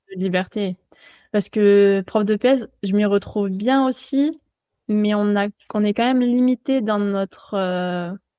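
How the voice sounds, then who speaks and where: A woman with a slight southern French accent talks at a very slow pace, her medium pitch showing ordinary variation. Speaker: life and sports mental coach, PE teacher. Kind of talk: interview. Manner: hesitant, many fillers.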